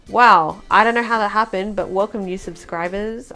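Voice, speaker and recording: Over music in the background, a woman talks in an Australian accent. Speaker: vlogger. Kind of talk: casual talk to camera.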